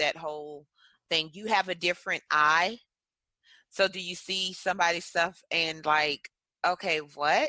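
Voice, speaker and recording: In a very clean recording with a silent background and a dry, close sound free of echo, a woman with a Southern US accent speaks at a moderate pace in a bright, sharp tone, her pitch fairly low and her intonation fairly even. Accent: Southern American. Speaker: podcast host. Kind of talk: podcast interview question.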